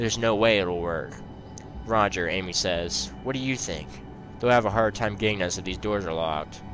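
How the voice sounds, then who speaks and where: Audible room echo surrounds a man with a very deep, low pitch and lively intonation. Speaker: gaming youtuber. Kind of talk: reading aloud.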